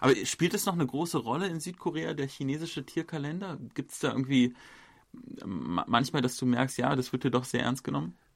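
A man at medium pitch with vocal fry, lively intonation and a fairly quick pace, on a very clean recording with a silent background. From Germany. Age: 30s. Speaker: journalist and podcast host. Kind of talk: casual chat.

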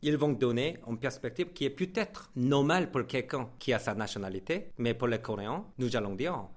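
Moderate pace, a Korean accent, lively intonation and hardly any pauses. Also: man, medium pitch for a man. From South Korea. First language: Korean (speaking French). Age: young. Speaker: radio host and writer. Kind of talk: interview. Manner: halting.

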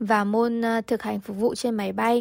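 A woman uses a plain, everyday voice, fairly high in pitch, at a fairly slow pace. The sound is dry and close with no echo, and the recording is very clean with a silent background. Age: 20s. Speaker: airline tourism graduate, former airline intern. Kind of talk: radio interview.

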